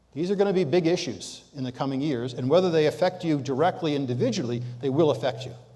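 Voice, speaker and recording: With audible room echo, a man rattles along at a very fast pace with hardly any pauses and a fairly high pitch. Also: ordinary pitch variation. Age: 70s. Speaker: guest lecturer on leadership and sustainability. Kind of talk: lecture. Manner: conversational, with fillers.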